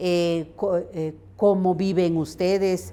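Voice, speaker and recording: With music in the background, a woman speaks at a fairly low pitch. Her pace is very slow and her intonation fairly even. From San Juan Comalapa, Guatemala. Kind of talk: interview answer.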